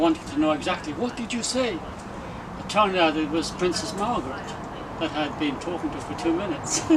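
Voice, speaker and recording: Amid noticeable background noise and audible room echo, a man with a high pitch talks at a fairly quick pace with ordinary pitch variation. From Ireland, small fishing village. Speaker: retired hotel doorman and poet. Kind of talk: interview. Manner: hesitant, with many fillers.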